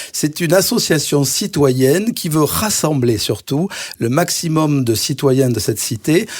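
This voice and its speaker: Against noticeable background noise, a man speaks at a fairly slow pace. His pitch is fairly high. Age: 60s. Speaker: cardiologist and mayoral candidate. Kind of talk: radio interview.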